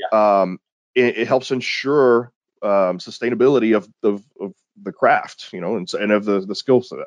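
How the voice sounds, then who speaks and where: A man with an American accent, a normal speaking voice, medium pitch, ordinary pitch variation and a moderate pace. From Texas, small town near Houston. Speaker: security company founder and researcher. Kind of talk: interview.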